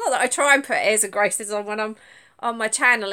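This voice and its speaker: A woman speaks with a Suffolk accent at a fairly high pitch. Her tone is bright and sharp, with ordinary pitch variation. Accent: Suffolk accent, sounds like London. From England, Suffolk. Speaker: crochet vlogger. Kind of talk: casual live stream chat. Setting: live stream from tablet at home. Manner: hesitant, stumbles over words.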